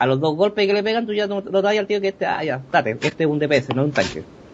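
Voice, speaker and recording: A man with a normal speaking voice, lively intonation and a moderate pace. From Chile. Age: 30s. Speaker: gaming blogger. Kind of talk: interview.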